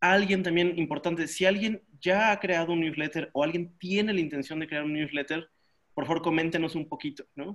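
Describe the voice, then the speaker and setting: Pitched high, a man talks with fairly even intonation. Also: quiet background. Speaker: workshop moderator. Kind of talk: casual moderation. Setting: video call. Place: home room. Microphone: webcam.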